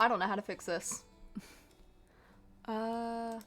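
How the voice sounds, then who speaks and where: A woman speaks with music in the background. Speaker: streamer. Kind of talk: casual live stream chat. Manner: loud; casual, hesitant with many ums.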